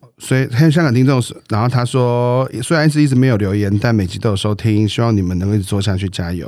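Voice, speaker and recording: At a very fast pace, a man with a Taiwanese accent speaks in a dark, mellow tone at a medium pitch with ordinary pitch variation. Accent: Taiwanese Mandarin. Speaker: podcast co-host. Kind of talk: casual chat. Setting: studio. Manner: playful.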